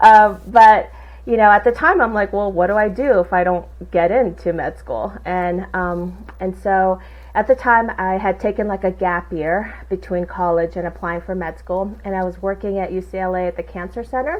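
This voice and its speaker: A woman speaks at a moderate pace in a Southern Californian accent. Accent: Valley girl. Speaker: insurance agency owner. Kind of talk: interview conversation. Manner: casual, animated.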